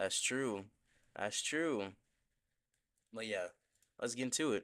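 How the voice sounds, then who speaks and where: This man talks quietly and very slowly, his medium-pitched voice rising and falling in an ordinary way. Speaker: gaming streamer. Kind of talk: live gameplay stream chat.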